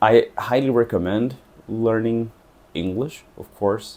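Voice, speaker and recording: With a Portuguese accent, a man talks at a very slow pace in a medium pitch and a dark, mellow tone. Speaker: travel vlogger. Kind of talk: casual monologue to camera.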